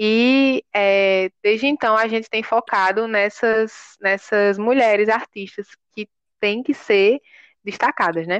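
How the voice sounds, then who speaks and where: A woman with a fairly high voice talks very slowly, her intonation fairly even. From Paraíba, Brazil (João Pessoa). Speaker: podcast host, university project coordinator. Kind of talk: casual podcast conversation.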